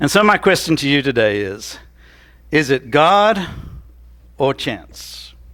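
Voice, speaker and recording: A fairly high-pitched man with an American accent at a fairly slow pace, in a very clean recording with a silent background. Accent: Southern US accent, noticed by locals. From Tennessee. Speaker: pastor. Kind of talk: sermon. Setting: church.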